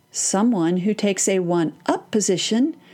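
On a very clean recording with a silent background, a woman at medium pitch speaks fairly slowly in a Texan accent, her dark, mellow tone carrying lively intonation. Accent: Texan American. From Texas. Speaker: parenting podcast host and therapist. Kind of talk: solo podcast talk.

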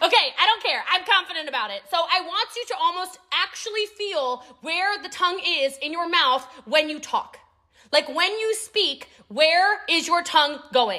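Speaking at a moderate pace, a woman uses an extremely high pitch and a bright, sharp tone in a raised, projected voice. Her delivery is animated, with lively intonation. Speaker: podcast host and network marketing mentor. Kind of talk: motivational training monologue. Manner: clear enunciation.

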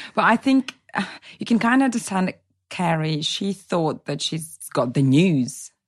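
Somewhat breathy, a woman speaks at a fairly low pitch and fairly slow pace, with very wide pitch swings. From Latvia, Russian-speaking family. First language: Russian. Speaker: actress. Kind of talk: casual chat.

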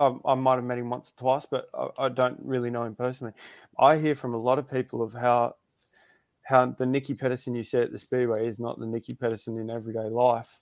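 Speaking very fast with an Australian accent, a man of medium pitch keeps a monotone, flat intonation. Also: very clean recording, silent background. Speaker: speedway rider. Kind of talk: casual chat.

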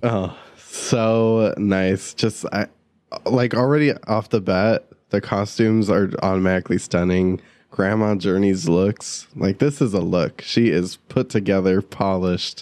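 Here is a man with an unremarkable speaking voice, fairly low in pitch with ordinary pitch variation. He talks at a fairly slow pace and very even loudness over a quiet background. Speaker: podcast host. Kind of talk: casual chat.

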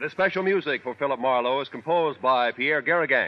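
Speaking at medium pitch, a man keeps a moderate pace with ordinary pitch variation.

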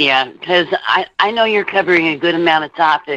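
Bright and sharp in tone, a woman with an American accent talks at a fairly quick pace with ordinary pitch variation. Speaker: caller. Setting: phone call.

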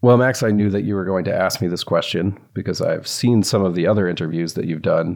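Speaking with an American accent, a man uses an ordinary speaking voice at a fairly low pitch, with ordinary pitch variation, a fairly quick pace and hardly any pauses. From US South. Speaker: journalist and author. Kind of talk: casual interview chat.

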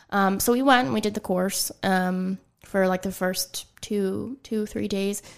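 On a very clean recording with a silent background, a plain, everyday voice with an American accent speaks at a fairly slow pace with fairly even intonation. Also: woman, medium pitch for a woman. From western Pennsylvania. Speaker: boudoir photographer. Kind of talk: casual interview. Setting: studio.

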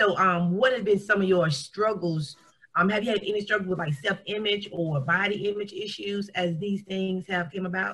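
A woman talks at a moderate pace and medium pitch in an unremarkable speaking voice. Her intonation stays fairly even. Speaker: podcast co-host, IBD patient. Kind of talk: casual interview.

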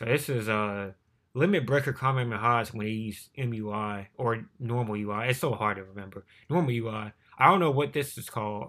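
On a very clean recording with a silent background, a man with a medium-pitched, bright, sharp tone talks at a fairly quick pace with ordinary pitch variation. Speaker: YouTuber reacting to manga chapter. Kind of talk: casual reaction commentary. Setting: home recording, no face cam. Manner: fast.

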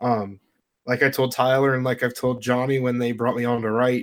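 On a very clean recording with a silent background, a man with an ordinary speaking voice talks fairly quickly at a medium pitch. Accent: American. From Pittsburgh area, Pennsylvania. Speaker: fantasy football analyst. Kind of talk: casual interview.

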